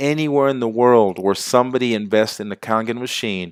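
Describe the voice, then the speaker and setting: A man speaks with an animated tone at a moderate pace, his pitch varying in an ordinary way, on a very clean recording with a silent background and a dry, close sound with no echo. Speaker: network marketing distributor. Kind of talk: sales pitch.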